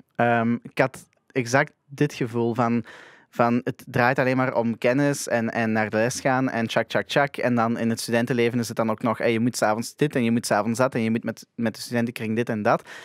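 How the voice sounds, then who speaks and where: In a Flemish accent, a man with a medium pitch speaks at a moderate pace with monotone, flat intonation. The sound is dry with no echo and the background quiet. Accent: Flemish Dutch. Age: young. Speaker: podcast host. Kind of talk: casual interview. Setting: studio. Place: studio. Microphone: studio mic.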